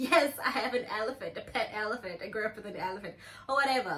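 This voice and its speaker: The woman's high voice shows ordinary pitch variation, with background noise noticeable behind it. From South Africa. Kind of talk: casual talk to camera.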